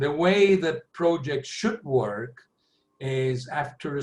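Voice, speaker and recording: Lively in intonation, a man with a fairly high pitch speaks at a very slow pace. His voice is somewhat breathy. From Argentina. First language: Spanish. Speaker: planning software consultant. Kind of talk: webinar Q&A. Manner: halting.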